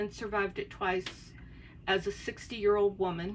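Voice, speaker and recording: A woman speaks with an American accent and vocal fry. Her pace is fairly slow. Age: 60s. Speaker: craft YouTuber. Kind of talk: casual chat. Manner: hesitant, many filler words.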